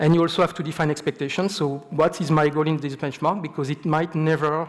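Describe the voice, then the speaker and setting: A man's fairly high voice in a French accent, fairly quick in pace and fairly even in intonation. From France, Marseille. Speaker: software engineer, conference speaker. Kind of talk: conference talk. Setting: stage with audience. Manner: halting, many repetitions.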